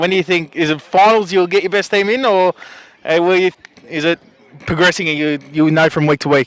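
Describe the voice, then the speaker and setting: A man with a high pitch speaks at a fairly quick pace with ordinary pitch variation. The sound is dry and close, with no echo. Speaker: sports interviewer. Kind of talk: post-match interview.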